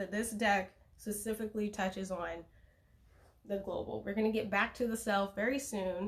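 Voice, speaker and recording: Fairly even in intonation, the voice has a somewhat breathy quality. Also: woman. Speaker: tarot reader. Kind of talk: live stream tarot reading. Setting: Instagram live stream at home. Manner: fast.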